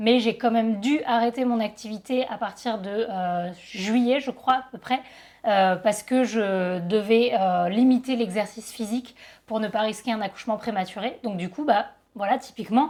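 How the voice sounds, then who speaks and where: An unremarkable speaking voice belongs to a woman with a fairly high pitch. She talks at a moderate pace with ordinary pitch variation. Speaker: photographer and YouTuber. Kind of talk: casual vlog talk.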